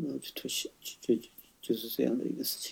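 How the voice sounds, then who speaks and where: The man's voice sits at a medium pitch and carries a dark, mellow tone. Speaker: retired tech company engineer. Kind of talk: casual interview. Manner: halting, repeats words.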